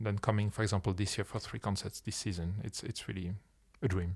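In a French accent, a man speaks with a dark, mellow tone and ordinary pitch variation, captured in a very clean recording with a silent background. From France. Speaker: ensemble founder and artistic director. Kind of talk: promotional talk about a concert residency.

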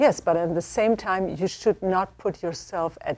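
A woman is speaking. She has a German accent. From Germany. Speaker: theology professor. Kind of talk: panel discussion.

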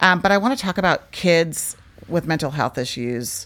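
Vocal fry runs through a woman's moderate-paced speech in a very clean recording with a silent background. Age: 50s. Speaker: podcast host. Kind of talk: casual interview chat.

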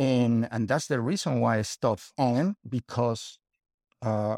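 A man with a Spanish accent at a fairly slow pace, ordinary pitch variation, in a very clean recording with a silent background. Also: dry, close sound with no echo. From Spain. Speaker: writer and translator. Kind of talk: interview. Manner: halting.

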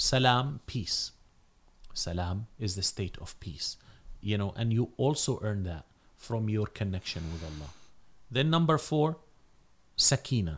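On a very clean recording with a silent background, a man with an Arabic accent speaks at a fairly slow pace, leaving long, frequent pauses. His somewhat breathy voice is fairly low in pitch yet swings very widely. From North Africa. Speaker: imam and Islamic scholar. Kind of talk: religious talk in podcast interview.

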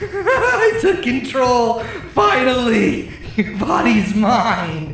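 A put-on character voice sits at a fairly high pitch and moves at a very slow pace. A slight echo and clear background noise are present. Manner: triumphant, menacing.

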